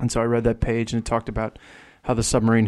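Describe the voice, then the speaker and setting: A man with a strong New Jersey accent speaks at medium pitch. The recording is very clean, with a silent background. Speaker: author and journalist. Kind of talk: casual interview chat. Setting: studio.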